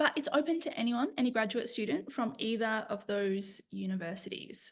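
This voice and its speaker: Speaking at a moderate pace with an Australian accent, a woman sounds somewhat breathy, her fairly high pitch moving in lively intonation. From Australia, east coast. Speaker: lecturer in conflict transformation, social worker. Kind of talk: webinar presentation. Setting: online webinar.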